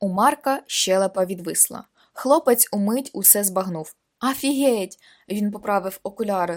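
Someone reads plainly aloud, with little noise behind them.

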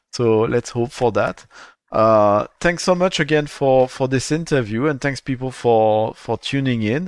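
Speaking in an ordinary speaking voice, a man talks at a fairly slow pace and medium pitch with ordinary pitch variation, in a dry, close sound with no echo and a quiet background. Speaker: podcast host. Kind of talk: interview in English, partly French. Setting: streamed live on Twitch, recorded remotely.

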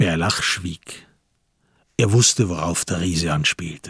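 The slow voice has a husky, rough edge and a fairly bright tone, captured on a very clean recording with a silent background and a dry, close sound with no echo. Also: man, low pitch for a man, ordinary pitch variation.

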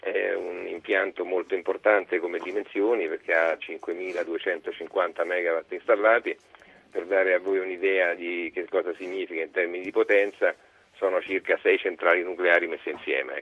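A man's low-pitched voice at a moderate pace, with few pauses. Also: fairly even intonation.

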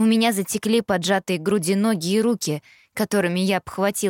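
In a natural reading voice, the speech keeps a fairly even intonation.

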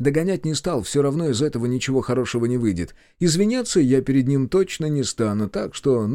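Lively intonation throughout plain reading aloud.

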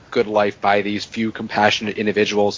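A man speaks at a moderate pace. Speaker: podcast co-host. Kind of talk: casual chat.

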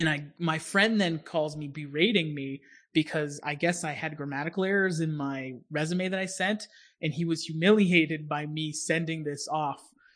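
A man with an American accent has an ordinary speaking voice, fairly high in pitch. He talks at a moderate pace with fairly even intonation against a quiet background. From Pittsburgh, US. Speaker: podcast host. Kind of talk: casual chat.

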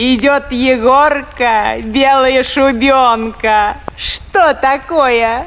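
Putting on a character voice, a woman speaks very slowly at a high pitch in a fairly bright tone with ordinary pitch variation. Faint background noise can be heard.

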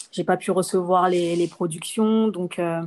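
Her voice at medium pitch, a woman talks at a fairly slow pace. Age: 30s. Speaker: entrepreneur. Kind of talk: interview. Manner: hesitant.

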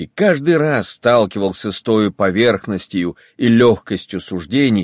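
Someone reads aloud in a natural voice. Lively intonation marks the delivery.

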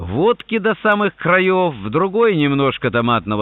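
Reading aloud, plain

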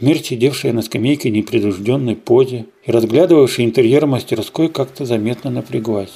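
The voice reads aloud. It sounds natural.

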